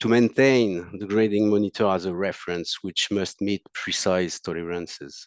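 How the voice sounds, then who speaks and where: A man with a French accent speaks at a moderate pace and a fairly low pitch, the sound dry and close with no echo against a quiet background. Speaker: monitor technical support specialist. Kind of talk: technical presentation. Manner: halting, many fillers.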